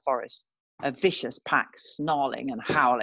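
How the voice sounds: A woman speaks with a fairly bright tone. Her pitch is low for a woman.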